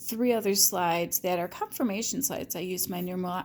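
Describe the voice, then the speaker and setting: A woman's medium pitch shows ordinary pitch variation on a very clean recording with a silent background. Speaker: tarot reader. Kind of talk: tarot reading monologue. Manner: animated.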